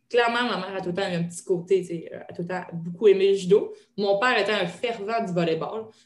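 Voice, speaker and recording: A woman with a Quebec accent talks at a fairly quick pace with fairly even intonation, her loudness moving in big swings, with audible room echo. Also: medium pitch for a woman. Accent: Québécois French. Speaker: retired judoka and strength coach. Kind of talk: interview. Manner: hesitant with fillers.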